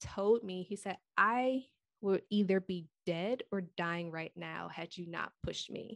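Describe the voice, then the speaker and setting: A woman with a plain, everyday voice talks at a fairly slow pace and medium pitch with ordinary pitch variation, on a very clean recording with a silent background. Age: 30s. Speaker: thyroid health coach. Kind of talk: casual interview.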